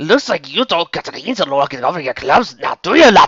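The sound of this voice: A man puts on a character voice in a strong Scottish accent, fairly high in pitch with big pitch swings and a slightly husky edge. His tone is bright and sharp, the pace fairly quick, and the sound dry and close with no echo. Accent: thick Scottish, put on.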